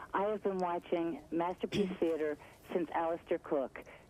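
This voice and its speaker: A woman speaks at a moderate pace with a fairly low pitch and a dark, mellow tone. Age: 60s. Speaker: caller. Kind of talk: call-in comment. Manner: animated.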